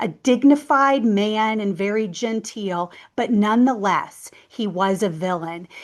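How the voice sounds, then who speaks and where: A woman with a plain, everyday voice talks at a fairly slow pace, her fairly high pitch showing ordinary variation. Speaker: numerology and astrology teacher. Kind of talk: educational talk to camera. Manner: casual, conversational with fillers.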